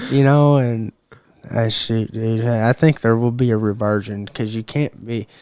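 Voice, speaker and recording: Fairly slow, fairly even speech with an Arkansas accent, in a dry, close sound with no echo. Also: man, medium pitch for a man. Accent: southern US (Arkansas). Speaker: mixed martial arts fighter. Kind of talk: casual chat.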